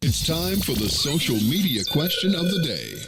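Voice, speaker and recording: A booming put-on character voice at a moderate pace, with very wide pitch swings. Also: man. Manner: big, booming announcer voice.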